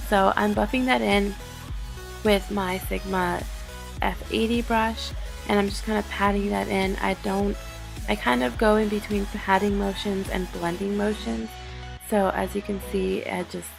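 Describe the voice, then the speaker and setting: The speaker moves at a fairly slow pace. Music plays in the background. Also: woman. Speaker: beauty YouTuber. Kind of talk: makeup tutorial voiceover.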